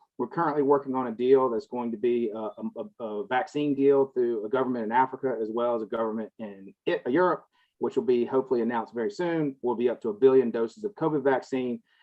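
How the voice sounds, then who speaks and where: With a Southern US accent, a man talks at a very fast pace with ordinary pitch variation. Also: medium pitch for a man. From US South. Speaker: cannabis industry consultant. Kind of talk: panel discussion.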